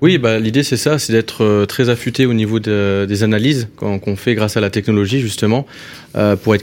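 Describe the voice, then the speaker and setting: At a moderate pace, a man with an ordinary speaking voice talks at a fairly low pitch with fairly even intonation. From northern France. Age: 30s. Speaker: entrepreneur. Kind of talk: interview.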